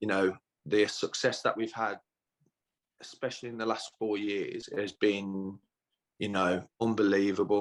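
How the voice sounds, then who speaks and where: A man's fairly low, monotone voice, fairly slow, broken by long, frequent pauses. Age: 30s. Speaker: footballer. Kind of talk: interview. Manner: hesitant, many fillers.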